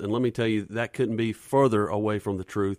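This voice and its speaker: The speaker has a Southern US accent and moves at a fairly quick pace with fairly even intonation. It is a very clean recording, silent background, with a dry, close sound and no echo. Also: man. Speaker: police officer and school board candidate. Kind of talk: radio interview. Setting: studio.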